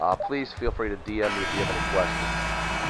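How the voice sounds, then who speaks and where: A man's moderately paced speech sits against noticeable background noise. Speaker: simulated sports league commissioner and commentator. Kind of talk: live play-by-play commentary. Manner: animated.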